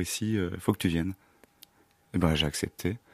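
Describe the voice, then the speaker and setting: Very fast and fairly even in intonation, a man speaks on a very clean recording with a silent background and a dry, close sound with no echo. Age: 30s. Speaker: actor. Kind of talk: interview. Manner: halting.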